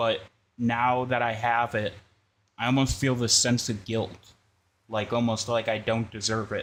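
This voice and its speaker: Slow and flat, a man talks at medium pitch in monotone intonation, with long, frequent pauses. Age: 20s. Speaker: sim racing streamer. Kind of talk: casual live stream chat. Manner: talkative.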